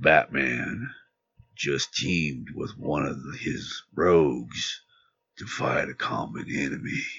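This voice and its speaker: Using a put-on character voice, a man speaks at a very slow pace with a very deep, low pitch. His voice is raspy. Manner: brooding, intense.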